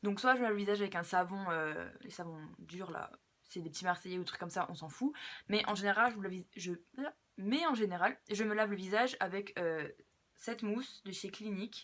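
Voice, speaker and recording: The speaker is a woman. She uses ordinary pitch variation. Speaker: beauty vlogger. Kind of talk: casual skincare tutorial. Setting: filming at home at her dressing table. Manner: fast; hesitant, many fillers.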